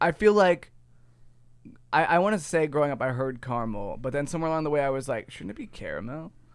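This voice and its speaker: A man's fairly high voice at a very fast pace, with lively intonation. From US Midwest, Ohio. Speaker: podcast host. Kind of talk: casual chat.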